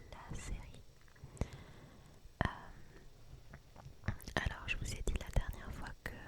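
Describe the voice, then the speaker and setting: The speech is whispered. Background noise can be noticeably heard. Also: woman. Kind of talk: ASMR series review.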